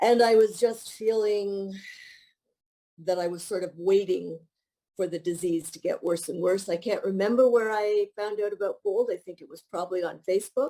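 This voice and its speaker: A woman's dark, mellow voice at medium pitch and moderate pace, in a Canadian accent. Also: fairly even intonation, big swings in loudness. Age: 60s. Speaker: retired teacher, fitness program member. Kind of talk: testimonial interview. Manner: halting, with fillers and restarts.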